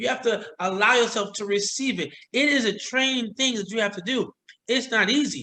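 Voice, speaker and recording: With a raised, projected voice, a man speaks at an extremely high pitch in a bright, sharp tone, with ordinary pitch variation. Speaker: motivational speaker and trainer. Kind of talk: casual chat.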